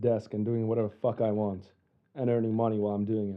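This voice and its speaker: A man talks at a fairly quick pace. His voice sits at a medium pitch. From Finland, born in Russia. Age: 20s. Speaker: student. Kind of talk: interview.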